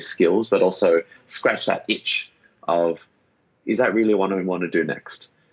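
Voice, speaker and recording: With an Australian accent, a man talks. He keeps a moderate pace. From Sydney, Australia. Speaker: startup founder. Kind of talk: interview.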